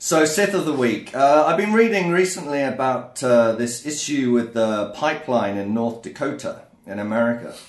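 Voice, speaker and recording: With an English accent, a man talks at a moderate pace and medium pitch, his intonation lively and hardly any pauses, over noticeable background noise and audible room echo. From England. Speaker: podcast co-host. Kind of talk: casual chat.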